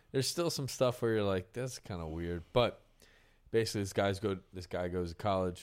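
A man with an American accent uses an ordinary speaking voice at a fairly low pitch and fairly quick pace. His pitch varies in an ordinary way, in a very clean recording with a silent background. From Pennsylvania. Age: 30s. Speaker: country musician and podcast host. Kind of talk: casual chat.

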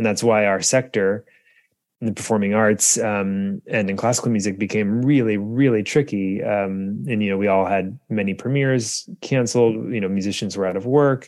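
A man with an American accent and a plain, everyday voice, fairly low in pitch, at a moderate pace and with fairly even intonation. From US. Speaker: composer and musician. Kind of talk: interview.

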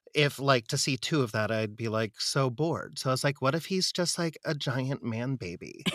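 In an American accent, a man talks at a medium pitch with ordinary pitch variation. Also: moderate pace. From US West Coast, San Diego. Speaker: theater actor and coach. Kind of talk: casual chat. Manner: animated.

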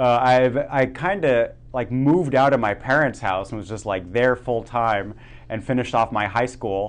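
A man with an American accent and a plain, everyday voice, at a moderate pace, medium pitch and ordinary pitch variation. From Germany and Oregon. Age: 30s. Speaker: podcast host. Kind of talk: casual interview chat.

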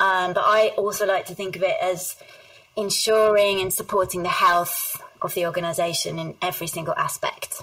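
With a southern English accent, a woman speaks at a moderate pace over noticeable background noise. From southern England. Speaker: HR executive. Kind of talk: interview.

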